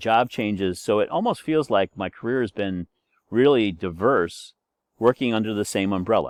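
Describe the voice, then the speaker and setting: Lively intonation moves along at a moderate pace, with a dry, close sound that has no echo and a quiet background. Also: man. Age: 60s. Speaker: university instructor. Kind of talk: course introduction lecture. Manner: casual, hesitant with fillers.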